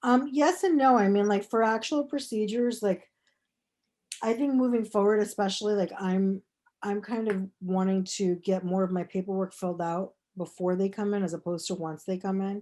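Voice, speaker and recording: Against a quiet background, a woman talks at a medium pitch with a dark, mellow tone and ordinary pitch variation. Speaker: small business owner, aesthetics clinic. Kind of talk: workshop Q&A. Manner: fast.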